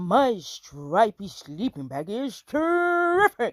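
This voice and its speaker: This female-sounding, put-on character voice has a fairly high pitch. It goes very slowly, with very wide pitch swings. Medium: read story.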